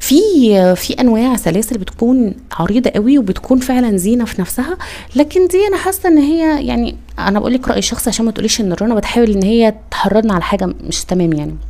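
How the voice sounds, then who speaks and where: With noticeable background noise behind her, a woman in an Egyptian accent talks at a fairly quick pace, her fairly high voice making very wide pitch swings. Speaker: niqab accessories seller and vlogger. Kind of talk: casual product tutorial. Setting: indoors, poor lighting. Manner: hesitant, many fillers.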